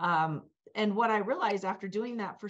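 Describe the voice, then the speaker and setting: The speaker is a woman. She keeps to a moderate pace. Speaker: cannabis business founder; talk show guest. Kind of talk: panel discussion. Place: office. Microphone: webcam.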